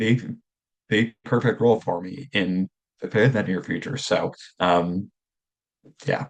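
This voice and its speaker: This man talks at a very slow pace with a fairly low pitch. His pitch varies in an ordinary way. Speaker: former coaching client. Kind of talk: testimonial interview. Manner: halting, repetitive.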